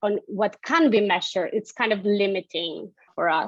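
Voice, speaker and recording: The speaker has a Spanish accent. The sound is dry and close with no echo, over a quiet background. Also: woman. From Argentina. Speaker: economics researcher. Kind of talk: interview. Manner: hesitant, repeats words.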